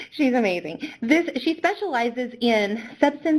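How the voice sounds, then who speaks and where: In an American accent, a woman speaks at a moderate pace with a fairly high pitch and lively intonation. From US West, Reno Nevada. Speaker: webinar moderator, program director. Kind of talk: webinar introduction of presenters. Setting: online webinar. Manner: reading bios with filler hesitations.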